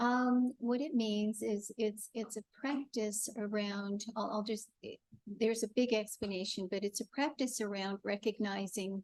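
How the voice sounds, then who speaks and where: Soft-spoken, fairly even delivery at a moderate pace, with a dry, close sound, no echo and a quiet background. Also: woman. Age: 60s. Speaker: funeral celebrant and death doula. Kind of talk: panel discussion.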